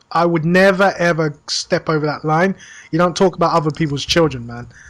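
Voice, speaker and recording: In a very clean recording with a silent background, a man with a British accent speaks at a high pitch and fairly quick pace with fairly even intonation. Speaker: podcast co-host. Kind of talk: casual chat. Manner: hesitant, many fillers.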